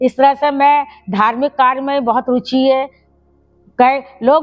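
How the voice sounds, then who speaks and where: This is a woman speaking. Her pitch is high. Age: 70s. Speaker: retired teacher and community organizer. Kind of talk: personal life story interview.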